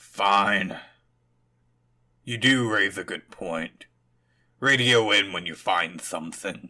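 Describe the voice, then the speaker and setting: A put-on character voice, raspy, moves at a very slow pace with long, frequent pauses. Its pitch varies in an ordinary way. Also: man, fairly low pitch for a man. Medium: audio drama. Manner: gruff, sarcastic.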